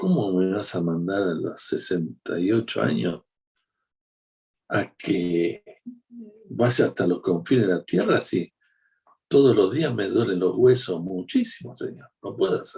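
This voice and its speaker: Speaking at a very slow pace, a man leaves long pauses again and again. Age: 60s. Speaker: preacher. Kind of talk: sermon. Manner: conversational.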